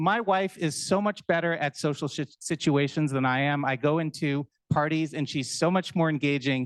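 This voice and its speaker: A man speaks with hardly any pauses and ordinary pitch variation, in a dry, close sound with no echo and a quiet background. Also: fairly high pitch for a man, moderate pace. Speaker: startup founder. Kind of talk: pitch presentation. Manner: filler words.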